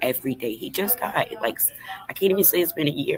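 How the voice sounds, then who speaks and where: A woman talks at a fairly quick pace while music plays behind her. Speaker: livestreamer. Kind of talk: casual livestream talk. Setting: livestream at cousin's house.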